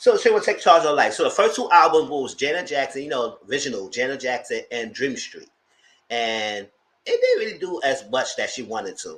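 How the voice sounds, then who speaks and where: Loudness rises and falls sharply. The man speaks fairly quickly. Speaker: YouTube reviewer. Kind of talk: live review commentary. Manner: casual, rambling.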